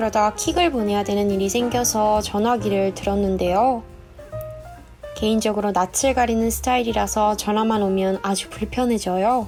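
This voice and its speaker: Over music in the background, a woman at a medium pitch speaks at a moderate pace with fairly even intonation. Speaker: new employee on a company PR team. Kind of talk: dubbed vlog voiceover narration. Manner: humorous, self-deprecating.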